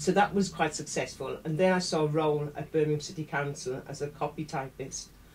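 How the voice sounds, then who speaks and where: A woman's very deep, low voice, somewhat breathy, monotone and flat, at a fairly quick pace. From South Wales. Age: 60s. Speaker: interview guest, council communications worker. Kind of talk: interview. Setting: studio. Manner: hesitant, many fillers.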